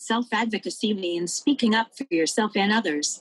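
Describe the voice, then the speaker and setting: The sound is dry and close with no echo as a woman talks, somewhat breathy, at a fairly quick pace and medium pitch with ordinary pitch variation. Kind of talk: panel discussion. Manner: partly voiced by text-to-speech.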